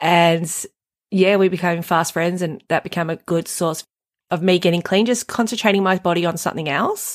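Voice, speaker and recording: A woman speaks with an Australian accent in a fairly low pitch, at a moderate pace with fairly even intonation. The sound is dry and close with no echo, in a very clean recording with a silent background. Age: 40s. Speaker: recovering drug addict and mother. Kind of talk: personal testimony in conversation.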